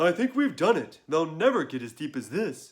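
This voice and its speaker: A man's put-on character voice, fairly high and swinging very widely in pitch, at a moderate pace. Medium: read story.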